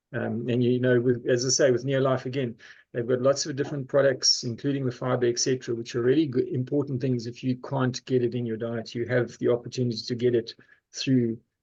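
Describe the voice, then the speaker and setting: A man speaks at a medium pitch with a dark, mellow tone and a somewhat breathy quality. His delivery is very fast and monotone, with flat intonation. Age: 60s. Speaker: pharmacist and health coach. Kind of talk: sales pitch. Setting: video call. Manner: halting.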